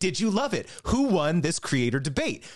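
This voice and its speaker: With very wide pitch swings and an animated tone, a man speaks at a moderate pace against a quiet background. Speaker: debate host and referee. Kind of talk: moderated debate show with sponsor read. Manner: animated, joking.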